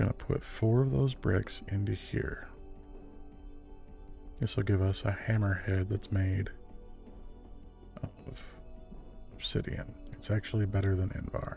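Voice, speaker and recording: Over music in the background, a man speaks at a fairly slow pace with long, frequent pauses. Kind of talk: ASMR gameplay narration, soft-spoken relaxing talk. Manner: soft-spoken, relaxing.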